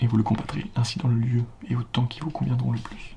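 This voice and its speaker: Someone soft-spoken is whispering. Noticeable background noise runs underneath. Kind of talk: ASMR book reading, classical text read aloud for relaxation. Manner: whispered, soft.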